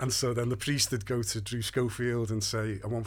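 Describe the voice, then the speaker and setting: A man with a Liverpool accent, medium in pitch, somewhat breathy, at a moderate pace, his intonation monotone and flat. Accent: Scouse. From Liverpool, northern England. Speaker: playwright. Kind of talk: casual interview.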